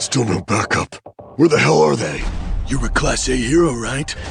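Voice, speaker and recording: A man puts on a cartoonish character voice at medium pitch. He talks at a moderate pace. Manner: gruff, shouting.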